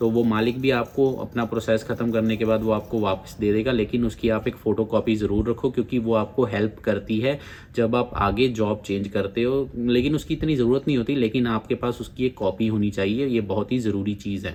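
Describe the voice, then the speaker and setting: A man with a Punjabi accent talks at a medium pitch with fairly even intonation and hardly any pauses. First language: Punjabi (speaking Hindi). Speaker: immigration advice YouTuber. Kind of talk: informational video talk. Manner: casual, conversational.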